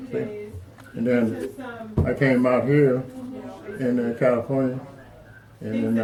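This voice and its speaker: There is audible room echo and noticeable background noise. A man speaks at medium pitch. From Arkansas, US South. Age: 70s. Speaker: retired Marine veteran. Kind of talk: life story interview.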